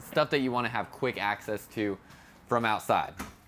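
Light background noise is present. A man talks with ordinary pitch variation. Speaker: RV salesperson reviewer. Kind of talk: product walkthrough commentary. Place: street. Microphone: phone near.

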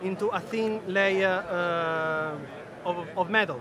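A man speaks in a raised, projected voice. The sound is dry with no echo, over noticeable background noise. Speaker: engineer at a textile tech startup. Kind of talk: trade show interview. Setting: trade show floor. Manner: halting, frequent fillers. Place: hall. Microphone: phone near.

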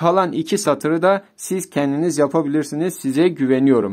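With a quiet background, a man speaks using lively intonation. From Turkey. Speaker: Arabic teacher. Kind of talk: tutorial. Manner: slow. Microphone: phone near.

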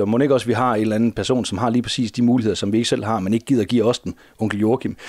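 A man's medium-pitched voice with fairly even intonation, a dry sound with no echo and a quiet background. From Denmark. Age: 40s. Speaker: teacher and comics collector; teacher, comics collector. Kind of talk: interview. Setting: at home. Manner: halting. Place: home room.

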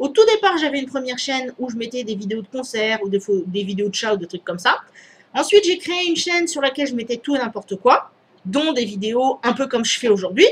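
A woman's high-pitched voice with lively intonation at a fairly quick pace, over light background noise. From Réunion. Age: 30s. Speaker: YouTuber. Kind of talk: vlog Q&A. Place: home room. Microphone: headset.

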